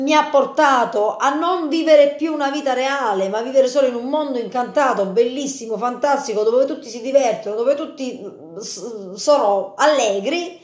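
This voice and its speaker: A woman with a high pitch speaks in an animated tone with lively intonation, against a quiet background with audible room echo. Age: 30s. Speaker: youtuber. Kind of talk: video monologue. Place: kitchen. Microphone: phone near.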